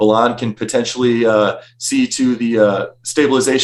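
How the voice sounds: In this natural reading voice, the pitch shifts in an ordinary way.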